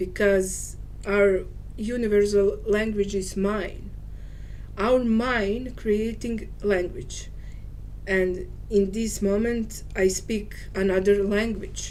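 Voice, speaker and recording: A woman speaks very slowly in a Serbian accent at a medium pitch. Her intonation is monotone and flat, with audible room echo. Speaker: spiritual teacher. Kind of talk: monologue video talk. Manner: halting.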